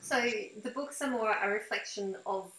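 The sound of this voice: A woman speaks with a fairly bright tone and ordinary pitch variation. Room echo is audible.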